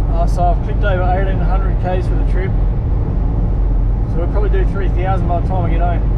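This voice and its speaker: Loud background noise sits behind the recording. A man talks at a moderate pace. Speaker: driver vlogger. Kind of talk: casual vlog chat. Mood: relaxed, admiring scenery. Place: car. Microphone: phone near.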